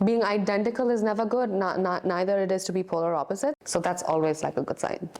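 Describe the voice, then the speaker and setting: A woman at a very fast pace and medium pitch, with hardly any pauses, very even loudness and ordinary pitch variation. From North India. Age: 20s. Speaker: dating show contestant. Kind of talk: casual chat.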